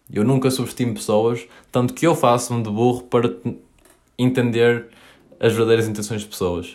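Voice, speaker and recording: At a moderate pace, a man with a medium pitch speaks in fairly even intonation, leaving long, frequent pauses. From northern Portugal, Paços de Ferreira. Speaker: podcaster. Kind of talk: solo podcast monologue. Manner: hesitant, many fillers.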